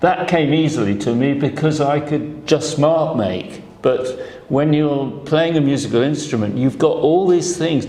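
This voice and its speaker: With audible room echo and noticeable background noise, a man speaks fairly slowly at a fairly high pitch, with ordinary pitch variation and very even loudness. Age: 70s. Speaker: painter and sculptor. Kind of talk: interview. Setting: gallery talk with audience. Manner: halting.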